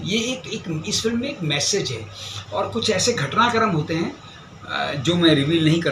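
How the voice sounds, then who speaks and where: Noticeable background noise sits under a man's voice. His pitch is fairly high, with lively intonation. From Haryana, India. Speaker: actor. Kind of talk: interview answer.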